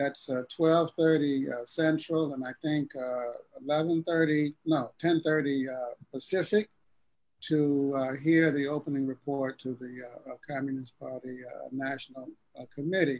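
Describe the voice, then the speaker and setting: Very slow delivery with fairly even intonation. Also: man, fairly high pitch for a man. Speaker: political party livestream host. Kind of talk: casual political discussion. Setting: live-streamed online show.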